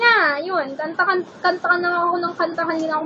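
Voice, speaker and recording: A loud woman's voice, extremely high-pitched and fairly quick, over noticeable background noise. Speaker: beauty vlogger. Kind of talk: vlog chat. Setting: bedroom at home. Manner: animated.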